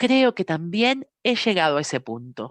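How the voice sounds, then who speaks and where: Lively intonation marks this woman's speech. The sound is dry and close with no echo, and the background is quiet. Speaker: meeting translator and reader. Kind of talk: reading aloud; meeting discussion.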